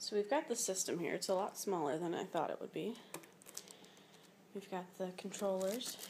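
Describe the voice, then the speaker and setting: Amid noticeable background noise, a woman of medium pitch talks at a moderate pace with ordinary pitch variation and long, frequent pauses. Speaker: gamer. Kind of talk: casual unboxing talk.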